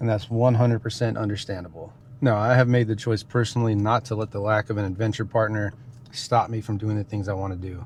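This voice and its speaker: Speaking very fast against a quiet background, a man with a fairly low pitch sounds somewhat breathy and keeps a monotone, flat intonation. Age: 30s. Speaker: outdoor adventure vlogger. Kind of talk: reflective vlog monologue. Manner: casual, conversational.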